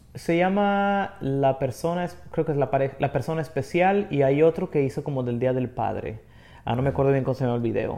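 Speaking in a plain, everyday voice, a man goes at a fairly quick pace with a fairly high pitch and lively intonation. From Mexico, Durango city. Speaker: singer-songwriter. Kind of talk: casual chat.

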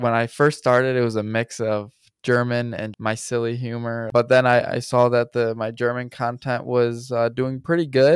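A man with a Midwestern US accent speaks at a moderate pace in a medium pitch. His intonation is monotone and flat, with hardly any pauses. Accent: US Midwest. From Michigan, US. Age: 20s. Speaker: content creator. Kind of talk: casual chat.

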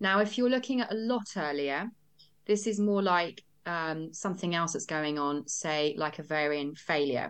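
A woman speaks in a normal speaking voice at a moderate pace, her pitch fairly low. Her intonation is lively against a quiet background. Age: 40s. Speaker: nutritional therapist. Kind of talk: casual chat.

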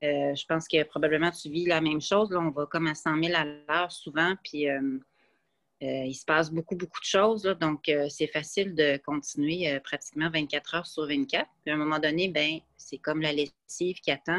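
A woman's very deep, low pitch at a moderate pace, fairly even in intonation, in a dry, close sound with no echo. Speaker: podcast guest, runner and traveler. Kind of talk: casual chat.

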